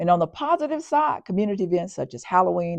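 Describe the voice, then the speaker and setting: Fairly low in pitch, a woman speaks with a Southern US accent. She moves at a fairly quick pace with very wide pitch swings. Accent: Southern US (Georgia). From US South. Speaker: county community engagement official. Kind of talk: community announcements podcast. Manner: normally fast.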